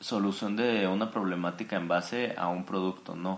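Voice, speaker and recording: A man with a Mexican accent at a fairly slow pace, with ordinary pitch variation. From Mexico, Jalisco. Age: 20s. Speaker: architect and entrepreneur. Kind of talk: interview.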